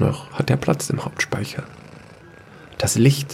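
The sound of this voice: A man's voice with vocal fry at a fairly slow pace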